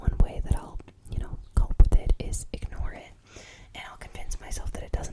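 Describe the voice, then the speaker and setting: Someone whispers at a fairly quick pace. Noticeable background noise runs beneath it. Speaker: ASMR creator. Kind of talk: ASMR whispered ramble. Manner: whispered.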